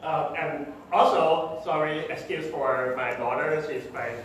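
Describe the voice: Strong room echo around a man's fairly high, fairly bright voice, fairly slow, with ordinary pitch variation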